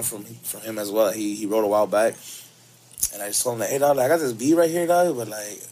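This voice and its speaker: Noticeable background noise runs under a man with an American accent. He speaks very fast at a medium pitch, with ordinary pitch variation. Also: big swings in loudness. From Los Angeles. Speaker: musician. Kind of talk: casual chat.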